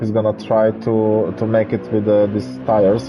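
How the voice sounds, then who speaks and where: A man with a fairly low pitch at a moderate pace, over noticeable background noise. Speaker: sim racing commentator. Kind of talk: live commentary. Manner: animated; halting.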